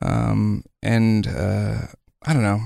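A man is speaking. He has an American accent. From US South (Marine Corps family, South Carolina). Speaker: musician, saxophonist and singer. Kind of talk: interview. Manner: halting, many fillers.

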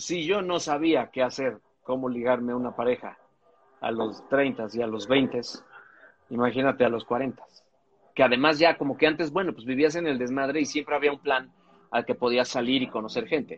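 At a moderate pace and medium pitch, a man speaks with ordinary pitch variation and long, frequent pauses. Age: 40s. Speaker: podcast co-host. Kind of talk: casual chat. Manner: animated.

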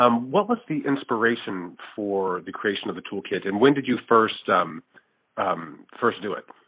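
A man at medium pitch speaks at a fairly slow pace with hardly any pauses. His intonation is lively, with big swings in loudness. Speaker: podcast host, magazine editor. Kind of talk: interview. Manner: halting.

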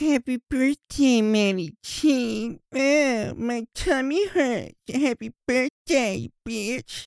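In a put-on character voice, fairly high in pitch and whiny in tone, the speaker whines along at a very slow pace. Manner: pained, whiny, tummy ache.

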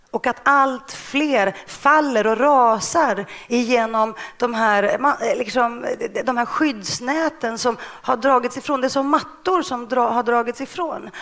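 Very slowly, a woman with a Greek accent speaks in a high voice with ordinary pitch variation. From Stockholm suburb (Rinkeby), born in Greece. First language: Greek (speaking Swedish). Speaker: journalist and author. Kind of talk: interview. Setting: stage with audience.

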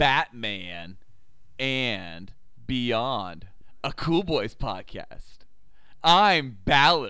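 With music in the background, a man speaks in a playful tone at a very slow pace, with very wide pitch swings. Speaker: podcast co-host. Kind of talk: casual. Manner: playful, joking.

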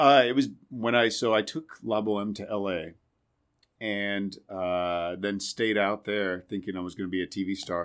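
A man's fairly low voice with ordinary pitch variation, on a very clean recording with a silent background. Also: moderate pace. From Indiana. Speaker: Broadway actor and singer. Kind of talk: casual chat. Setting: backstage dressing room.

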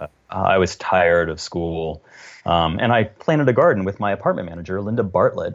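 A plain, everyday voice from a man with an American accent, fairly low-pitched, with ordinary pitch variation and a fairly quick pace. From US South. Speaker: entomologist. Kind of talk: interview.

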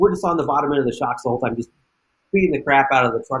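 With an American accent, a man speaks in a somewhat breathy, fairly high voice. His intonation is lively. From US West. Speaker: off-road racer. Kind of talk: casual interview.

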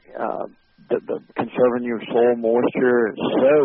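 A man speaks with a Southern US accent. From US South, Montgomery, Alabama. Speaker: wildlife habitat manager. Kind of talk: interview.

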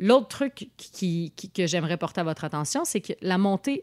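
A woman speaks with a plain, everyday voice and a medium pitch. Her intonation is lively, and the sound is dry and close with no echo. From Montreal, north of the island. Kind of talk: casual political chat.

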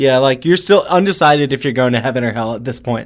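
A man speaks in an ordinary speaking voice at a fairly quick pace. His pitch is fairly high, with lively intonation. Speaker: podcast host. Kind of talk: casual chat. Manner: joking, teasing.

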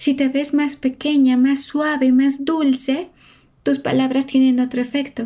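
Fairly slow and very even in loudness, a woman speaks at a high pitch with a dark, mellow tone and monotone, flat intonation. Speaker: body language analyst and podcast host. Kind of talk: narrated analysis of interview footage.

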